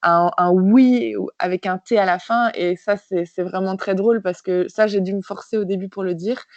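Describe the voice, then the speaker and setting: A woman in a Belgian accent talks at a moderate pace and medium pitch with hardly any pauses. Her intonation stays fairly even. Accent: French with Belgian coloring. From France. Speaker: physiotherapist. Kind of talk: interview. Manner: hesitant, many fillers.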